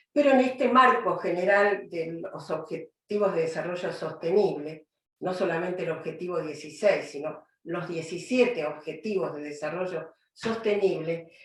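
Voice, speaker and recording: With a fairly low pitch and ordinary pitch variation, this woman talks at a fairly slow pace, hardly pausing at all. Her loudness swings widely, and audible room echo surrounds her. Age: 70s. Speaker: judge and lecturer. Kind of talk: lecture.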